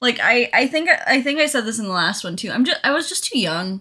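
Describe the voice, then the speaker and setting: A woman's bright, sharp tone at a fairly quick pace. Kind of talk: casual chat. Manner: quieter than co-host.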